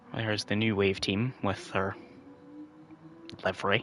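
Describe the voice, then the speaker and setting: A man speaks quietly with a fairly low pitch and monotone, flat intonation. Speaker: sim racing commentator. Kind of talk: live commentary. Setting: home livestream at night.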